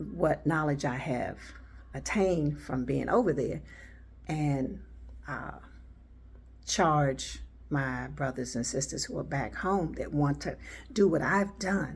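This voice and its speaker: A woman talks very slowly, leaving long, frequent pauses, as room echo remains audible. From United States. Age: 70s. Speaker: YouTuber. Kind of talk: casual commentary. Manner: hesitant, with fillers.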